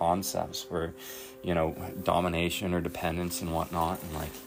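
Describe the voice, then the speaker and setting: With music in the background and audible room echo, a man speaks at a very deep, low pitch. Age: 30s. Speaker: recovery vlogger. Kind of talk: personal reflection monologue. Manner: halting, many fillers.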